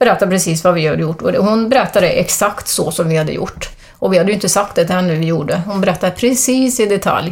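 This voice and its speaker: Noticeable background noise sits behind a woman talking at a very fast pace. She uses hardly any pauses and ordinary pitch variation. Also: medium pitch for a woman. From Sweden, Arentorp (Västergötland). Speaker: medium. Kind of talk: interview about spiritual experiences.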